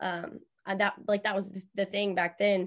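Her Texan accent comes with a medium pitch and monotone, flat intonation as the woman speaks. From Texas, Columbus. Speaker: country music singer-songwriter. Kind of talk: interview. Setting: studio.

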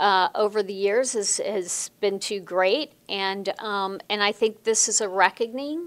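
A woman with an American accent and a normal speaking voice talks fairly slowly at medium pitch with ordinary pitch variation, recorded very cleanly against a silent background. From US Midwest, Chicago. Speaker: sports executive and lawyer. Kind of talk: interview.

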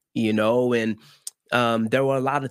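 This man's voice sits at a medium pitch, and his intonation is fairly even. The recording is very clean, with a silent background. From Miami, Florida (Haitian family). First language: Haitian Creole. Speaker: marriage and family therapist. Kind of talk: interview.

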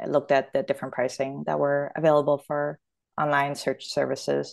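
A woman speaks with a Canadian accent. The background is quiet. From Toronto, Canada. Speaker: startup founder and product executive. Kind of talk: casual interview chat.

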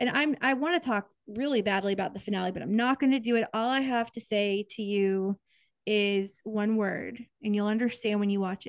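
In an American accent, an ordinary speaking voice moves at a moderate pace with ordinary pitch variation against a quiet background. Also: woman, fairly high pitch for a woman. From Kansas, US Midwest. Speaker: podcast co-host. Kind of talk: casual chat.

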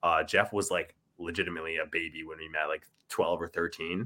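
A man with an Ontario accent talks at a fairly quick pace in a bright, sharp tone. The recording is very clean, with a silent background. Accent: Canadian (Ontario). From Ontario, Canada. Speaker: musician in a band. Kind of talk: casual chat.

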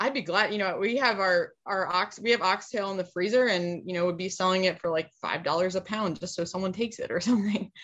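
Here is a woman with a plain, everyday voice at medium pitch and ordinary pitch variation. She talks at a fairly quick pace with hardly any pauses. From Pennsylvania. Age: 30s. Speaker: cattle farmer and feed mill owner. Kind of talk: casual interview.

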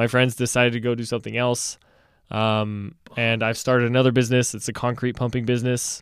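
Talking at a very fast pace, this man has a medium pitch and a monotone, flat intonation, captured in a very clean recording with a silent background. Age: 20s. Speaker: university student and podcast co-host. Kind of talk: casual chat.

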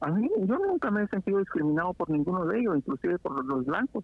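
Talking at a fairly quick pace, a man uses a high voice for a man with very wide pitch swings. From Guatemala, Quetzaltenango (Xela). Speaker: guest. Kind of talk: casual chat.

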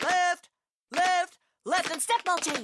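Someone uses a put-on character voice at an extremely high pitch. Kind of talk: military, loud. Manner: barking, commanding.

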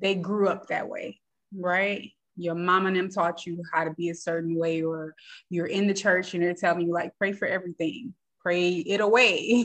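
Speaking at a moderate pace, a woman uses a plain, everyday voice, medium in pitch, with fairly even intonation. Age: 30s. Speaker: mental health therapist. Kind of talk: interview.

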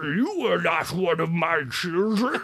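A put-on character voice at a middle pitch. Clear background noise is heard behind it. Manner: commanding, suspicious.

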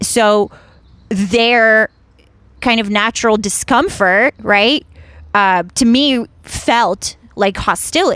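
With an American accent, a woman speaks very slowly in a fairly high voice, the sound dry and close with no echo. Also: ordinary pitch variation. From Ukraine, then Washington DC area from age 11. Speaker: stand-up comedian. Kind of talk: casual chat.

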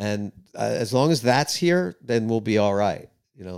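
With a New York accent, a man speaks at a fairly quick pace with lively intonation. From New York, Queens. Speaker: rock musician. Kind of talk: casual interview chat. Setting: studio.

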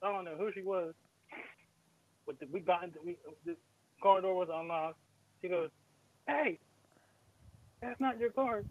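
A man speaks with an East Coast US accent at a high pitch. The sound is dry and close, with no echo. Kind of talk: casual chat.

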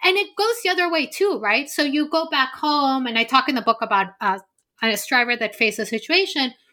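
A woman's raised, projected voice, bright and sharp in tone, with lively intonation at a moderate pace, on a very clean recording with a silent background. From Peru. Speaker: philosophy professor, author. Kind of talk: interview.

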